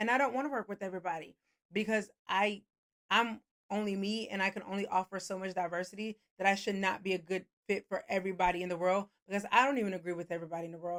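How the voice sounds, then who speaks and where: A woman speaks at a very fast pace and a medium pitch. Her intonation stays fairly even. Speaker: therapist. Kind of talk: casual advice monologue.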